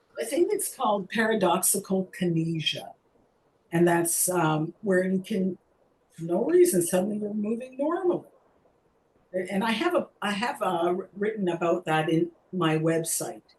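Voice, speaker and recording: An ordinary speaking voice in a Canadian accent, at a moderate pace with ordinary pitch variation. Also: woman, medium pitch for a woman. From Canada. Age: 60s. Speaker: mime teacher with Parkinson's. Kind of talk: webinar Q&A talk. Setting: video call webinar.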